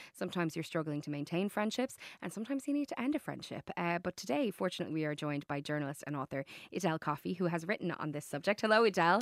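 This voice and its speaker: A woman's fairly low voice with an Irish accent, very fast and lively in intonation, in a dry, close sound with no echo and a very clean recording over a silent background. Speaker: radio host. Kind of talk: radio interview. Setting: radio studio.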